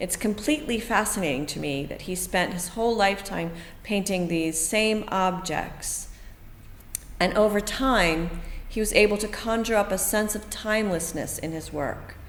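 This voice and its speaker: With an American accent, a woman speaks at a medium pitch and moderate pace, with ordinary pitch variation and audible room echo. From US East Coast. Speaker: artist and art teacher. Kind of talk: tutorial. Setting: art centre studio.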